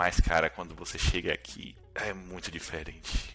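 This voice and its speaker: His tone comes across bright and sharp. A man is talking. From Brazil, Salvador, Bahia. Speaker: software developer. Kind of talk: casual chat.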